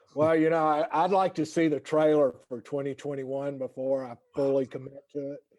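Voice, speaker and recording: In a North Carolina accent, a man talks fairly quickly at a fairly high pitch. His intonation is fairly even, and the sound is dry and close with no echo. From North Carolina, Winston-Salem. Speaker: lawyer wellness program founder. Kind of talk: casual chat. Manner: doesn't move lips much.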